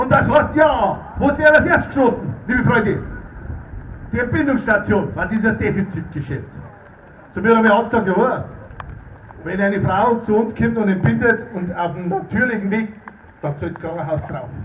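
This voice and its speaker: Spoken in a Bavarian accent at a moderate pace with long, frequent pauses, the voice comes with light background noise and audible room echo. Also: man. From Erding, Bavaria. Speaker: politician, state parliament member. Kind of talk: political rally speech. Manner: fiery, rousing. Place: tent.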